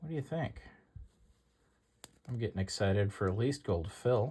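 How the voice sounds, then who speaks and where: A man's dark, mellow voice, somewhat breathy, with lively intonation. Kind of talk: casual talk to camera.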